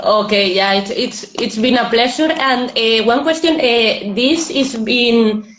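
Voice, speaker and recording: At a fairly slow pace with hardly any pauses, the voice holds a very even loudness and ordinary pitch variation, with audible room echo and noticeable background noise. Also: woman, fairly high pitch for a woman. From Spain. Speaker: interviewer. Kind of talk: interview. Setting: Instagram live video call.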